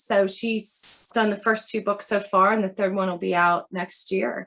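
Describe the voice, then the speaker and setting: At a moderate pace, a woman with an American accent speaks at a medium pitch with fairly even intonation. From Philadelphia and New Jersey shore, US. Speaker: children's book author. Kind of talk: interview.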